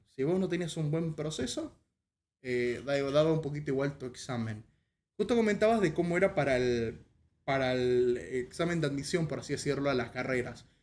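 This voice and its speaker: A man speaks in an unremarkable speaking voice at a fairly high pitch. His pace is moderate and his intonation lively. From Paraguay. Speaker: podcast host and streamer; podcast host, streamer. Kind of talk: casual interview. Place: home room.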